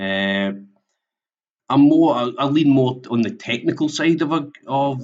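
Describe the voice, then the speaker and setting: A man talks in a Scottish accent. His pitch varies in an ordinary way. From Scotland. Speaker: software implementation consultant. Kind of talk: webinar presentation. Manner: halting, many fillers and repetitions.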